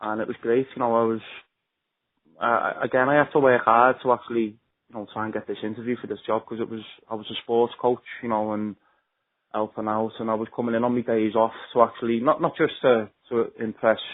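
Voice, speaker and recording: Monotone and flat, a man talks at a fairly quick pace. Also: medium pitch for a man. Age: 20s. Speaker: mental health advocate. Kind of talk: personal testimony. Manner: halting, many repetitions.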